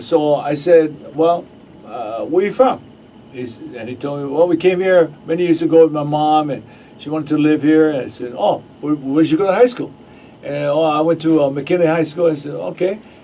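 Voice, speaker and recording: A man's fairly high voice at a moderate pace, with big swings in loudness and noticeable background noise. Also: ordinary pitch variation. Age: 60s. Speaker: radio host. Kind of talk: casual chat. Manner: halting.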